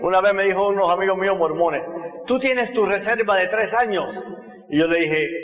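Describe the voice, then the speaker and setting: Amid noticeable background noise and audible room echo, a man with a Cuban accent talks at a fairly quick pace and a high pitch, with ordinary pitch variation and very even loudness. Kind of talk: testimony talk.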